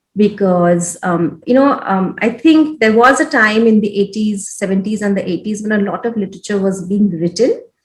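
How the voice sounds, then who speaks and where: Her voice somewhat breathy, a woman talks at a medium pitch. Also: ordinary pitch variation, moderate pace, hardly any pauses. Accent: Odisha. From India, Odisha. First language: Odia. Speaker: education program leader, former journalist. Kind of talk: interview. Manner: hesitant, many fillers.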